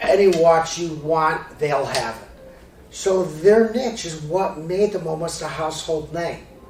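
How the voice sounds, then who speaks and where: With an American accent, a man speaks at a fairly high pitch and fairly even intonation, with audible room echo and noticeable background noise. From Chicago area, US Midwest. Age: 50s. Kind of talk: presentation.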